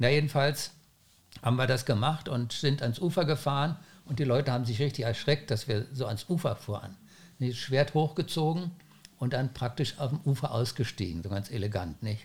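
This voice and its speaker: A man talks at a medium pitch. His voice is somewhat breathy. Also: ordinary pitch variation, moderate pace. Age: 70s. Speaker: founder of a windsurfing school. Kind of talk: podcast interview.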